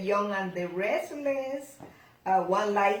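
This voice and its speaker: Amid noticeable background noise and audible room echo, a woman with a non-native accent speaks at a very slow pace. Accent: foreign. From outside the US, non-English-speaking country. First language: not English. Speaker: grandmother interviewee. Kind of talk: casual family Q&A interview. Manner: halting.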